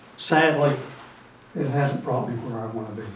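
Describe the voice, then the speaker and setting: With audible room echo and noticeable background noise, a man speaks at a moderate pace with fairly even intonation. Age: 60s. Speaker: golf student. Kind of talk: casual chat.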